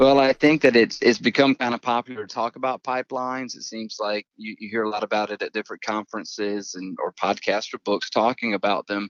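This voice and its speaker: At a fairly quick pace with hardly any pauses, a man speaks at a medium pitch with fairly even intonation but big swings in loudness. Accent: American. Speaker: pastor. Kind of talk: podcast interview. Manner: relaxed, conversational.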